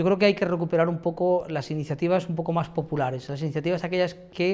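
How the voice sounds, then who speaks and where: Here a man talks with a high pitch. His intonation is fairly even. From Spain, Elda (Alicante, Valencian region). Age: 40s. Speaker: mayoral candidate, university professor. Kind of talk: interview answers. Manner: hesitant, many fillers.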